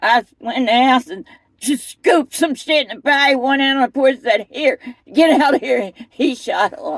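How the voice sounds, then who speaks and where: A high-pitched woman with an American accent at a moderate pace, ordinary pitch variation, and a dry, close sound with no echo. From US Northeast, Camden, New Jersey. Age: 60s. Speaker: interviewee sharing life story. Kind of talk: casual interview testimony. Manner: animated.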